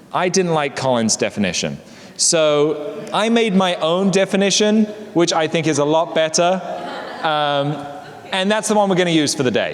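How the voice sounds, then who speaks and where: With an English accent, a high-pitched man speaks at a moderate pace with ordinary pitch variation and very even loudness against noticeable background noise. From England. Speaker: presenter at a workplace learning session. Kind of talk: casual talk to small group.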